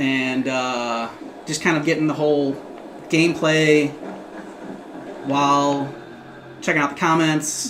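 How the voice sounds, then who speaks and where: A woman with an American accent speaks at a very deep, low pitch and a fairly slow pace, with fairly even intonation and long, frequent pauses. Noticeable background noise and audible room echo fill the recording. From US Midwest. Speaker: gaming livestreamer. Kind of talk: casual livestream chat.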